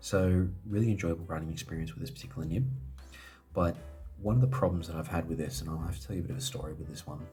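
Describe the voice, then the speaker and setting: This man has a very deep, low voice and lively intonation. He talks at a very fast pace with music playing in the background. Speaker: fountain pen reviewer. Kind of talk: casual product review to camera.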